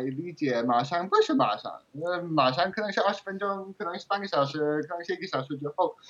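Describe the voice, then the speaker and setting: At a moderate pace, a man with a strong English accent talks in a high pitch with ordinary pitch variation. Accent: strong English accent in Mandarin. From England. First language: English (speaking Chinese). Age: 30s. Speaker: translator and language learner. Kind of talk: interview. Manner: halting.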